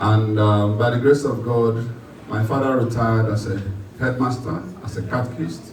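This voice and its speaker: A man in a Nigerian accent, medium pitch and fairly even intonation, with noticeable background noise and audible room echo. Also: moderate pace. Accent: Nigerian Igbo English. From Nigeria, Anambra State. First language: Igbo. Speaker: politician. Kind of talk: public speech. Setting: meeting hall with audience.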